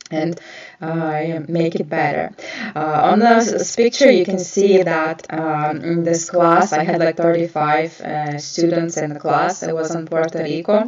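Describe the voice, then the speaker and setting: Against noticeable background noise, a woman with a non-native accent and fairly low pitch speaks at a fairly slow pace with fairly even intonation. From Ukraine. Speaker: nail artist and educator. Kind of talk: live stream talk. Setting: live stream. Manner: hesitant, many filler sounds.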